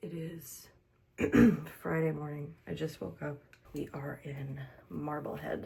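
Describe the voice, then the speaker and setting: A put-on character voice, soft-spoken and raspy, sits at a low-to-middle pitch. It moves at a fairly slow pace. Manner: soft, ASMR-style.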